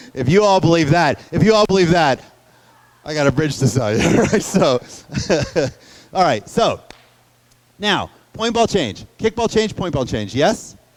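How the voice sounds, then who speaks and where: Over noticeable background noise, a high-pitched man speaks at a moderate pace with very wide pitch swings and long, frequent pauses. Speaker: dance teacher. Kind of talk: lecture.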